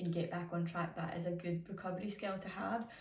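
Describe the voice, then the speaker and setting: Fairly quick speech with ordinary pitch variation and audible room echo. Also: woman. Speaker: music student teacher. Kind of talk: reflective self-assessment. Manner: hesitant with fillers.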